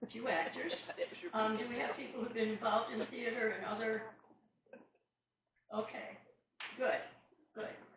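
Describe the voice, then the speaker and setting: Against audible room echo, a woman with an American accent speaks at a fairly high pitch and moderate pace, with fairly even intonation and long, frequent pauses. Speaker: playwright. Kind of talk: talk to a club audience. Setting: club meeting with live audience and microphone. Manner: projecting stage voice.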